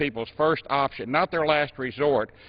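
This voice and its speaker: A man with an American accent speaks in a plain, everyday voice at a moderate pace, his fairly high pitch held in fairly even intonation. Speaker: U.S. congressman and former auctioneer. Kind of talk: formal floor speech in legislature.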